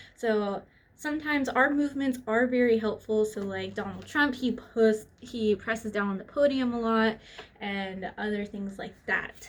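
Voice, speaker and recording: In an American accent, a woman talks at a moderate pace in a fairly high voice with ordinary pitch variation. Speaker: student. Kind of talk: class presentation. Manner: casual; animated.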